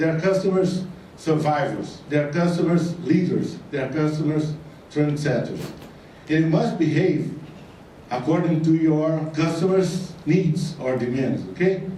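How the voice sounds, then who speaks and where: With a non-native accent, a man speaks fairly slowly in a fairly high voice with fairly even intonation. Noticeable background noise and audible room echo fill the recording. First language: Portuguese. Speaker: retail consultant. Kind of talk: conference talk. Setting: stage with audience.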